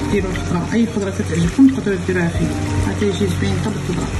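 Amid noticeable background noise, a woman speaks at a very fast pace. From Morocco, Taroudant. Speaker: home cook. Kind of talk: casual cooking tutorial talk. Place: kitchen. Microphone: phone near.

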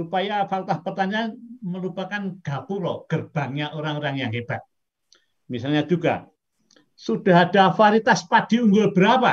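At a moderate pace, a man speaks in a high pitch with ordinary pitch variation over a quiet background. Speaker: professor. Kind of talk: lecture. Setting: video call. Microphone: video call.

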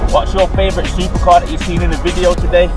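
A man's voice with clear music in the background. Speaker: car vlogger. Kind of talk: casual vlog chat. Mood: relaxed and upbeat. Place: car. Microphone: camera far.

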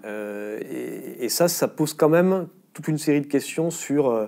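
Against a quiet background, a man speaks in a dark, mellow tone with lively intonation. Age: 50s. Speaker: politician and former veterinarian; politician. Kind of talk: interview. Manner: halting, frequent repetitions and hesitations. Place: studio. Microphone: lapel.

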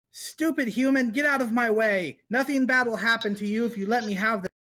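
In a put-on character voice, the speaker growls at a fairly high pitch and a fairly quick pace. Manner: snarling, insulting.

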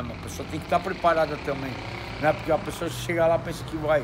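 A man's voice with noticeable background noise. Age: 60s. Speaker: former internet TV show host. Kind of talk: casual chat. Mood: reflective, slightly aggrieved. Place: street. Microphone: phone near.

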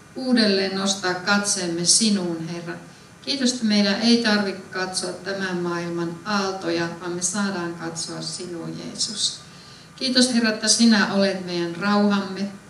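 A woman's intonation stays fairly even. Audible room echo and light background noise accompany her voice. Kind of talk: spoken prayer. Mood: calm, reverent. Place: church.

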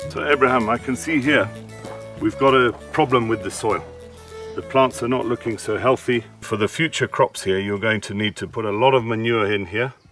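A man speaks at a fairly quick pace. The sound is dry with no echo, and faint music plays in the background. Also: ordinary pitch variation. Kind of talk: advice explanation to farmer. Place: farm machine.

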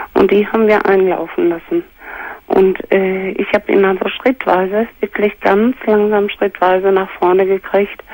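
Recorded dry with no echo, a woman speaks at a fairly slow pace. Her intonation is flat and monotone, and her loudness stays very even. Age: 60s. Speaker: caller. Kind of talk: testimony. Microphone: phone line.

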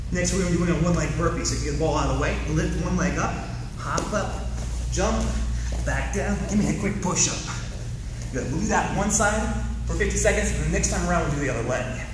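Audible room echo and noticeable background noise around a man talking fairly quickly. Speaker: fitness instructor. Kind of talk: tutorial. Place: gym. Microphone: camera far.

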